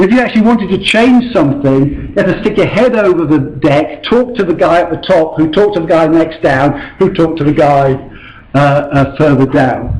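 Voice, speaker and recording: Lively intonation marks this man's fairly high voice. Noticeable background noise and audible room echo surround him. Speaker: invited lecturer on ancient ship reconstruction. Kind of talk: lecture. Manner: hesitant with many fillers.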